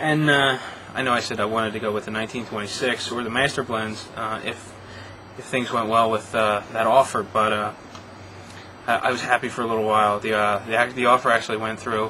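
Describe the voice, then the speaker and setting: Over noticeable background noise, a man talks at a fairly quick pace and medium pitch in a monotone, flat intonation. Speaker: cigar reviewer. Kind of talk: product review. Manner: fast; hesitant, many fillers.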